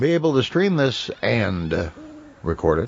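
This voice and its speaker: A man with an American accent talks with lively intonation while noticeable background noise carries on behind him. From northern Minnesota, upper Midwest US. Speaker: podcast host. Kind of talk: casual chat. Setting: streaming podcast with microphone.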